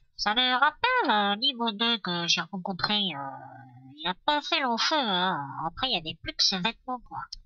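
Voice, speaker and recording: A female-sounding voice does a put-on character voice at a fairly high pitch. She talks at a moderate pace. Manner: casual, darkly amused.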